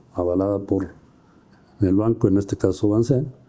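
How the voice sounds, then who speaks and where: This man speaks at a fairly low pitch with a dark, mellow tone. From Mexico, San Luis Potosí. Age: 70s. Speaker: businessman, car dealer. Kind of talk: interview. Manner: halting, many repetitions and fillers.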